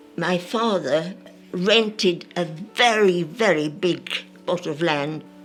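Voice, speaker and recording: With music in the background, a woman speaks in a medium pitch with lively intonation. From France. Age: 80s+. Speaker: centenarian. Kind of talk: interview answer, life story reminiscence.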